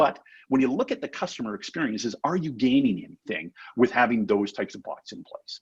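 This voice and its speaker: With a Canadian accent, a man speaks at medium pitch and a fairly quick pace. His pitch swings very widely. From Canada. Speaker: chatbot company representative. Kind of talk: webinar panel discussion. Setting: live webinar. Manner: conversational, many filler words.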